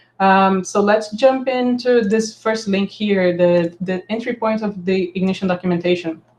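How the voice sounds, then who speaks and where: Fairly even intonation in a medium-pitched female voice. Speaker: software developer leading community meeting. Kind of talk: online meeting presentation. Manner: fast.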